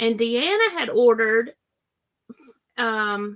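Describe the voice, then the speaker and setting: This woman has a fairly high voice with a Southern US accent. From Florida. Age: 50s. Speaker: crafting livestream host. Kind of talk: casual livestream chat.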